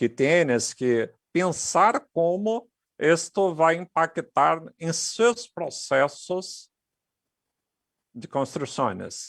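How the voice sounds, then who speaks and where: A man with a Portuguese accent speaks at a very slow pace in a high pitch with lively intonation, the sound dry and close with no echo. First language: Portuguese (speaking Spanish). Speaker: technology speaker. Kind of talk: conference presentation.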